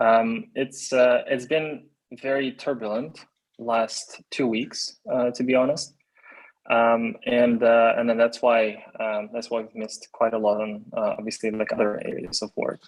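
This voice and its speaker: A man's medium-pitched voice in a Ukrainian accent, fairly slow with monotone, flat intonation. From Ukraine (Dnipro). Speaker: tech founder. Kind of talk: video call update. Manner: halting, many fillers.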